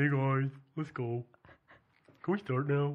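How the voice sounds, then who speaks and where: A put-on character voice in a playful tone moves along at a fairly slow pace. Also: man. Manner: silly, playful.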